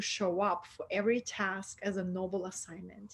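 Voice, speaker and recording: A woman with a Russian accent at a moderate pace. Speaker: spiritual mentor. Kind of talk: interview. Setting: online video call.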